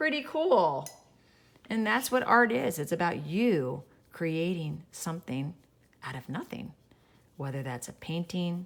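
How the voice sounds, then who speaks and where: Speaking at a fairly slow pace, a woman uses a very deep, low pitch with very wide swings up and down. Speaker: art teacher. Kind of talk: tutorial. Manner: animated.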